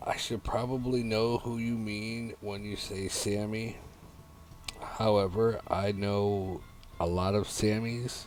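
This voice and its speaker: A man with an American accent speaks very slowly at a fairly low pitch in a flat monotone, with audible room echo. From New York. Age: 30s. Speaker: video game streamer, military veteran. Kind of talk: casual live-stream chat. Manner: halting, many fillers.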